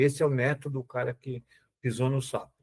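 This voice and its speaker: A man's medium-pitched, somewhat breathy voice comes through in a very clean recording with a silent background. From Brazil, São Paulo. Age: 70s. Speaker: pathology professor, physician. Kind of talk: podcast interview. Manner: hesitant, with false starts.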